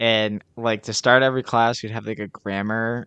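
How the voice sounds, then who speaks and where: Dry and close with no echo, a man's medium-pitched voice moves at a moderate pace in a flat monotone. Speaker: podcast host. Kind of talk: casual chat.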